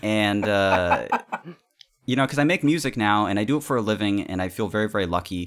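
A fairly low-pitched man with an American accent, very fast pace and lively intonation. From California. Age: 30s. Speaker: musician, podcast guest. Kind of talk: casual chat.

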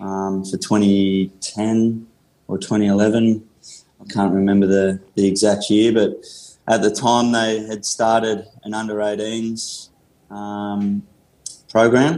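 A man speaks at a very slow pace in a fairly low pitch. His tone is dark and mellow, and his intonation is monotone and flat. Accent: Australian. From Australia, country Victoria (Gippsland). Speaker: rehab and conditioning coach. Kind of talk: interview.

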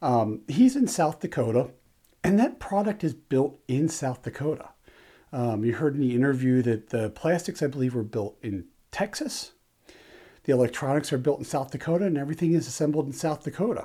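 A dark, mellow, somewhat breathy tone with lively intonation. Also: man, fairly high pitch for a man, fairly quick pace, very clean recording, silent background. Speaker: firearms channel host. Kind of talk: interview. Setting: studio with video.

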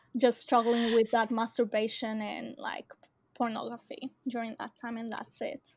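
A woman's monotone, flat voice with big swings in loudness. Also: fairly high pitch for a woman, moderate pace. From Australia. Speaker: university student in recovery. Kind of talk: personal testimony interview. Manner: hesitant, many fillers and laughs.

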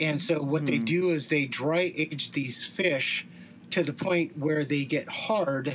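With an American accent, a man speaks at a very slow pace in a fairly high pitch, with ordinary pitch variation and very even loudness. Noticeable background noise runs underneath. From Southern California. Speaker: food reviewer. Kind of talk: casual chat.

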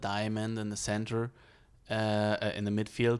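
With a German accent, a man speaks at a medium pitch and a fairly slow pace. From Germany.

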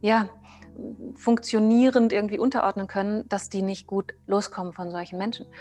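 Over music in the background, a woman speaks at a moderate pace in a fairly high pitch with fairly even intonation. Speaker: trauma therapist. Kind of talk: interview.

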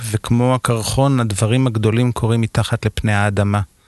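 A man speaks in an unremarkable speaking voice. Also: dry, close sound with no echo. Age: 50s. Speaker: architect. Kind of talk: casual chat.

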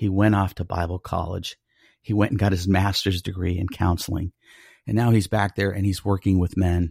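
A man with an American accent speaks at a moderate pace in a very deep, low voice that is somewhat breathy and monotone, with flat intonation, in a dry, close recording with no echo, very clean and with a silent background. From Colorado Springs, US. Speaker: ministry director serving the homeless. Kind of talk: casual interview.

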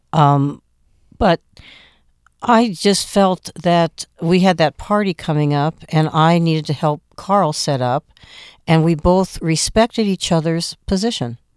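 On a very clean recording with a silent background and a dry, close sound with no echo, a woman speaks with an American accent in an ordinary speaking voice. She has a fairly low pitch, a fairly slow pace and ordinary pitch variation. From Phoenix, Arizona. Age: 60s. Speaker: music promoter. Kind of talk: interview. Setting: studio.

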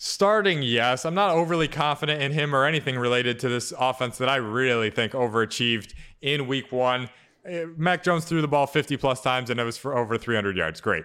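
Medium in pitch, a man talks at a fairly quick pace with lively intonation in an ordinary speaking voice. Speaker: fantasy football analyst co-host. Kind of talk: casual sports podcast chat.

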